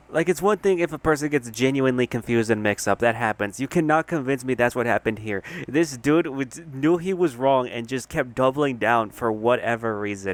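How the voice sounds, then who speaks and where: Speaking at a fairly quick pace with hardly any pauses, a man has an animated tone and a medium pitch with ordinary variation, in a dry, close sound with no echo. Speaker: commentary youtuber. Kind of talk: comedic rant. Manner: soft-spoken.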